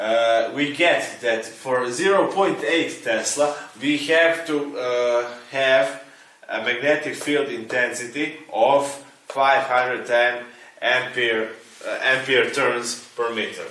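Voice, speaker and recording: A man with a non-native accent speaks very slowly at a medium pitch with fairly even intonation, with noticeable background noise and audible room echo. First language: not English. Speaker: engineering teacher. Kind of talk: tutorial. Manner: halting.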